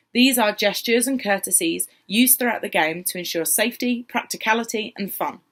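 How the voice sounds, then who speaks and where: In a South London accent, a woman speaks with lively intonation. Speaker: LARP organiser. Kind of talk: informational video talk.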